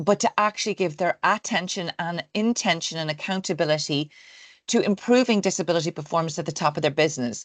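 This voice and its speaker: In an Irish accent, a woman talks at a very fast pace with a fairly low pitch, the sound dry and close with no echo. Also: ordinary pitch variation, quiet background. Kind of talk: interview.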